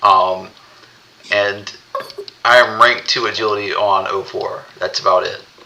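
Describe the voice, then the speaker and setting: Against noticeable background noise, a man with a Southern US accent talks at a fairly slow pace, leaving long, frequent pauses. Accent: Southern US, drops the L in wolf. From US South. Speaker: podcast co-host, gamer. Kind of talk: casual group chat.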